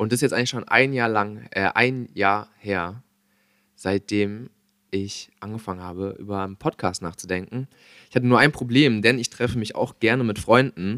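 A man's fairly low-pitched voice with a bright, sharp tone, on a very clean recording with a silent background. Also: ordinary pitch variation, moderate pace. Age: young. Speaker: podcast host. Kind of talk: casual chat.

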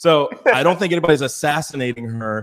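Fairly quick and American-accented, a man talks in an ordinary speaking voice. His pitch is fairly high, with ordinary pitch variation. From Virginia. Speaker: digital marketer and political commentator. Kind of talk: casual political talk show.

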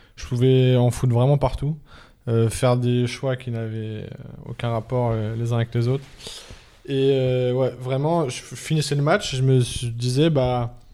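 A man's medium-pitched, dark and mellow voice at a very slow pace, with long, frequent pauses and fairly even intonation. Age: 20s. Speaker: professional table tennis player. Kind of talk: casual chat.

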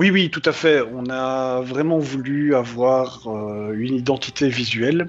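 A man's medium-pitched voice with a Belgian accent and ordinary pitch variation, music playing in the background. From Belgium. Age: 30s. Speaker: anonymous web comic writer. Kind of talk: interview.

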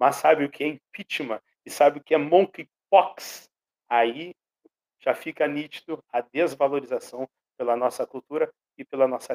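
A man with a normal speaking voice talks at a moderate pace and a fairly high pitch, with fairly even intonation and big swings in loudness, the sound dry and close with no echo. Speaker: pedagogue and actor. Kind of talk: radio interview.

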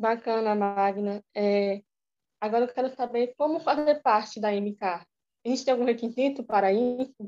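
A woman with a fairly high pitch and a dark, mellow tone speaks at a moderate pace with ordinary pitch variation, in a dry, close sound with no echo. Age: young. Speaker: podcast host. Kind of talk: interview. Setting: remote call.

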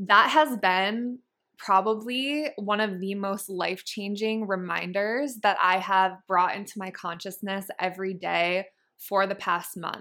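An American accent at a fairly slow pace, bright and sharp in tone, with ordinary pitch variation on a very clean recording over a silent background. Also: woman, medium pitch for a woman. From Massachusetts, small town. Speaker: hypnotherapist and spiritual mentor, podcast host. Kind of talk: personal storytelling monologue.

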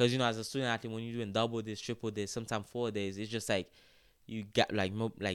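Speaking in a Haitian accent with fairly even intonation, the voice comes through on a very clean recording with a silent background. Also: man. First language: Haitian Creole. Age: 20s. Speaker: college soccer player. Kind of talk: podcast interview. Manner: halting.

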